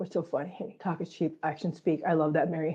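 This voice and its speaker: A woman with a somewhat breathy, dark, mellow tone and fairly low pitch talks at a fairly quick pace. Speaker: cat channel livestream host. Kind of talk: casual livestream chat.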